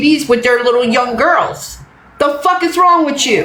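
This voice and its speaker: Amid noticeable background noise and audible room echo, a woman talks at a moderate pace with a high pitch. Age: 60s. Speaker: livestreamer. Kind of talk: livestream rant. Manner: emphatic, repetitive.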